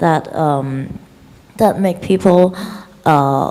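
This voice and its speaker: A woman's very deep, low voice with a Chinese accent and ordinary pitch variation, over noticeable background noise. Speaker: film director. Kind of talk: interview. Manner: halting.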